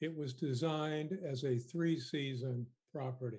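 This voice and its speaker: Fairly slow and somewhat breathy, a man speaks with a dark, mellow tone. His pitch is fairly high. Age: 70s. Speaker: member of the public presenting to a committee. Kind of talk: prepared statement to a legislative committee. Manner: formal.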